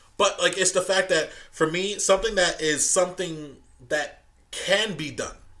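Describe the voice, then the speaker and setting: Pitched high for a man, his raised, projected voice has a bright, sharp tone, a moderate pace and fairly even intonation. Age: 20s. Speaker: podcast host and former marine corporal. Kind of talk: casual chat.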